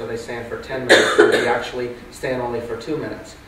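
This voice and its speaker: Speech comes very fast amid noticeable background noise and audible room echo. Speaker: real estate agent. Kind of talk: panel discussion. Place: meeting room.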